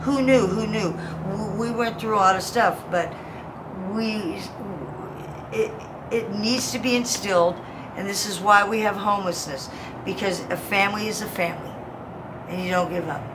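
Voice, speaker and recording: A woman at a moderate pace with medium pitch and long, frequent pauses, amid audible room echo and noticeable background noise. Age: 50s. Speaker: homeless military veteran. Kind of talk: street interview. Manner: animated.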